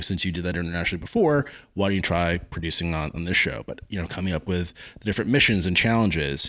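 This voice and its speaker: A man with an American accent speaks at a very fast pace in a very deep, low pitch on a very clean recording with a silent background. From New Jersey, Freehold. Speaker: TV producer and showrunner. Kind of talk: casual interview. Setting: at the guest's home.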